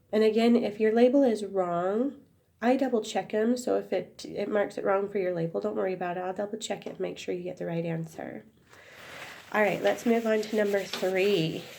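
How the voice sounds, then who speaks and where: Speaking at a fairly quick pace, a woman has a dark, mellow tone, a medium pitch, and ordinary pitch variation. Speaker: schoolteacher. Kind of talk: math lesson tutorial.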